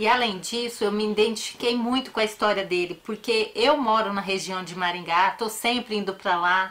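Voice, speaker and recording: A woman's fairly high, bright, sharp voice at a fairly slow pace with fairly even intonation. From Paraná, Brazil, raised in a Northeastern family. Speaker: true crime YouTuber. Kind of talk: casual personal talk to viewers; narration of a true crime case.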